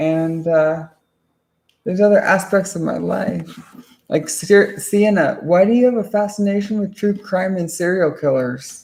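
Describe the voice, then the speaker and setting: A woman's medium-pitched voice at a fairly slow pace with ordinary pitch variation. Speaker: streamer. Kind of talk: casual livestream monologue. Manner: loud; halting.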